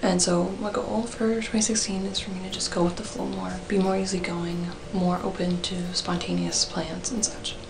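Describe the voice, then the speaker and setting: Noticeable background noise surrounds a woman at medium pitch. She keeps a moderate pace with fairly even intonation and hardly any pauses. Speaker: university student. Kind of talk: casual talk to camera. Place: home room. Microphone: webcam.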